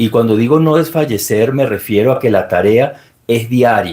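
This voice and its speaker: A man with a Venezuelan accent has a dark, mellow tone at a medium pitch. His pace is moderate and his pitch variation ordinary. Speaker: security expert and book presenter. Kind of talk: formal speech at book launch. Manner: formal.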